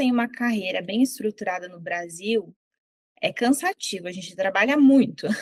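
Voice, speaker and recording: A woman with a fairly high pitch, lively intonation, and a moderate pace. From southern Brazil. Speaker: psychologist. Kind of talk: interview.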